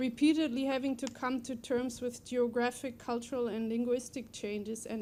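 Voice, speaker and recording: Her voice dark and mellow, a high-pitched woman speaks at a moderate pace with monotone, flat intonation. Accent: German. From Germany. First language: German. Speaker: poet. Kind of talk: prepared speech at a book talk. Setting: library event with audience.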